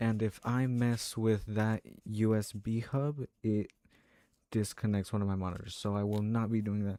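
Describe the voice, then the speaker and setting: A man speaks quietly at a fairly low pitch, his tone dark and mellow. His intonation is flat and monotone. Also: moderate pace, very clean recording, silent background. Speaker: sim racing streamer. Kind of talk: live stream commentary. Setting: home room, parents next door.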